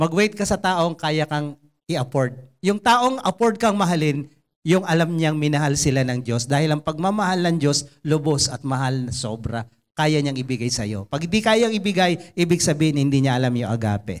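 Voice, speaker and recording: With an animated tone, a man speaks at a moderate pace in a fairly high pitch over a quiet background. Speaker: preacher. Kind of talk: sermon. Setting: church. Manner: animated, conversational and humorous, with jokes and mimicked voices; earnest and exhortative, in Taglish. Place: stage. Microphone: handheld.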